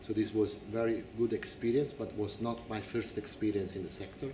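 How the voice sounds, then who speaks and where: A man talks at a fairly quick pace with an Italian accent. Noticeable background noise and audible room echo fill the recording. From Italy. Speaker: incoming director of an organic farming association. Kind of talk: interview.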